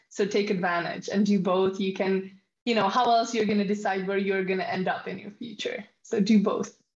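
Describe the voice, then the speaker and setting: A somewhat breathy woman with a Czech accent talks at a fairly quick pace, at a medium pitch with fairly even intonation. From Czech Republic. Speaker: study abroad advisor. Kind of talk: webinar presentation. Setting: online webinar.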